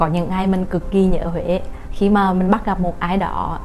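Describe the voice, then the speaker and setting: A woman speaks with monotone, flat intonation amid noticeable background noise. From Huế, Central Vietnam. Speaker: vlogger. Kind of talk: casual personal vlog narration.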